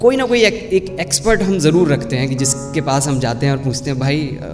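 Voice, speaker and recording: With music playing in the background, a man speaks at a fairly high pitch and a moderate pace. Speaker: voice over artist. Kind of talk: spoken introduction to the story.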